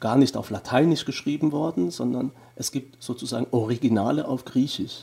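With vocal fry and a dark, mellow tone, a man speaks using ordinary pitch variation. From Germany. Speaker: theology professor. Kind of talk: interview.

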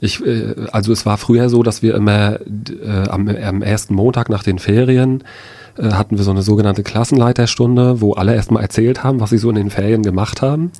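Fairly low in pitch, a man talks at a fairly quick pace with a dark, mellow tone and fairly even intonation. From Rostock, northern Germany. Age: 30s. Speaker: eyewitness, NGO worker. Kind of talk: radio interview, personal testimony. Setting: radio studio.

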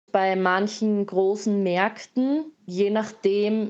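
In a normal speaking voice, a woman talks at a medium pitch with fairly even intonation. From Austria, Graz. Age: 20s. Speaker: missionary and artist. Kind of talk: interview testimony.

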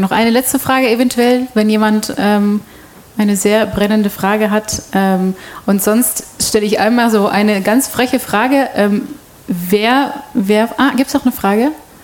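Over noticeable background noise, a woman with a fairly high pitch speaks at a moderate pace, her intonation fairly even and her loudness very even. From Belgium, Antwerp. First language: Dutch (speaking German). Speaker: radio host. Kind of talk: panel discussion moderation. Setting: stage with audience.

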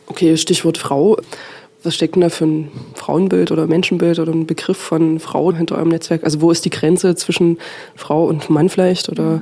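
Against noticeable background noise, a woman speaks with monotone, flat intonation. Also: fairly low pitch for a woman, fairly quick pace. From Dresden, Saxony. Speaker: radio host. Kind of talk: radio presentation.

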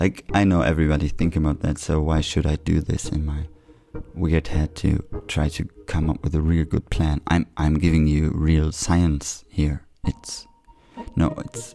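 A man's very deep, low pitch in a German accent, with fairly even intonation and noticeable background noise. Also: moderate pace. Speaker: community radio host. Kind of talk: solo monologue. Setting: radio studio.

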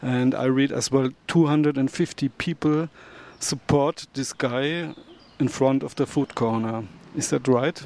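A man with a German accent speaks very slowly at a medium pitch, with fairly even intonation. The sound is dry and close, with no echo. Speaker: community radio host. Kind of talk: radio show presenting. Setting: studio.

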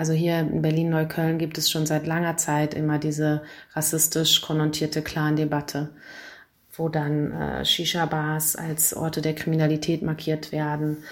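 A woman speaks with a very deep, low pitch. Her delivery is monotone and flat, at a moderate pace. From Hamburg, Germany. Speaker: lawyer and activist. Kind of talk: pre-recorded interview answer.

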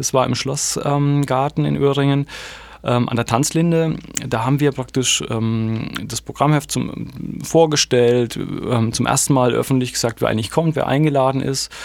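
A man with a normal speaking voice, medium in pitch, with fairly even intonation and a fairly slow pace. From Germany. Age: 40s. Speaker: literary festival curator. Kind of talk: radio interview.

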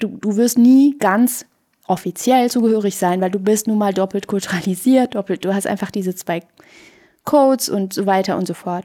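At a moderate pace, a woman with a medium pitch and a dark, mellow tone talks with ordinary pitch variation. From Iran. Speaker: filmmaker and performance artist. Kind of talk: casual chat. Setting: radio studio.

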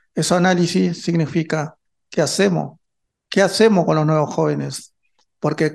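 Against a quiet background, a man speaks at a moderate pace. His pitch is fairly high. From northern Argentina, Chaco. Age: 50s. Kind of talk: interview. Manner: halting.

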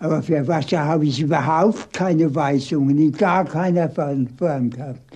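A somewhat breathy voice with a dark, mellow tone moves at a fairly slow pace with hardly any pauses. The intonation stays fairly even. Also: man, fairly high pitch for a man. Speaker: former Nazi-era city planner. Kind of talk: interview.

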